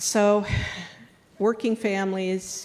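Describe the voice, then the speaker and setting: With audible room echo, a woman with an American accent speaks at a very slow pace in a monotone, flat way. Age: 60s. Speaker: union leader and home care worker. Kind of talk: public question at a town hall.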